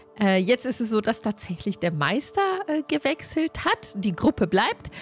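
Faint music sits behind the speech. The woman keeps a moderate pace. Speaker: stream host of a tabletop role-play group. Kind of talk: casual stream introduction. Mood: cheerful, friendly. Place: home room. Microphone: studio mic.

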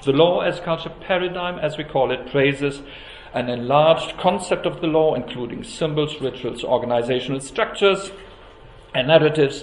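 The speech moves at a moderate pace with ordinary pitch variation. Audible room echo and light background noise are present. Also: man. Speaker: academic host introducing a lecture. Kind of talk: formal introductory speech. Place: hall. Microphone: podium.

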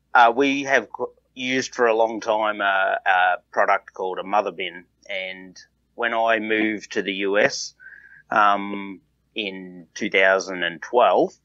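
Fairly slow speech in an Australian accent with fairly even intonation. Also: man, fairly low pitch for a man. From southeast Australia. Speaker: farmer and entrepreneur. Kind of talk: casual interview.

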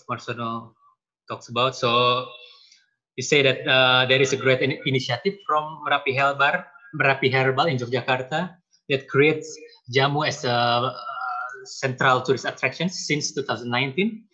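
Against a quiet background, a man with a bright, sharp tone and ordinary pitch variation speaks with long, frequent pauses. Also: moderate pace. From Indonesia. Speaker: lecturer and webinar moderator; lecturer, webinar moderator. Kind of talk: moderated panel discussion. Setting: video call. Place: home room. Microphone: earbuds.

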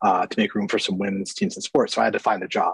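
A quiet setting behind a man's voice. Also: dry sound with no echo. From Ohio, US. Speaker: scientist, lab head; webinar speaker. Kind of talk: webinar talk. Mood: friendly, relaxed. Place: office. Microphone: webcam.

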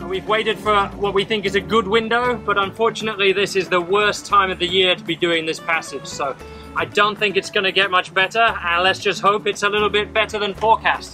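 Over clear music in the background, a man talks in a raised, projected voice with fairly even intonation. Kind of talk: casual vlog chat. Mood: cheerful, wry. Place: boat. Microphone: camera far.

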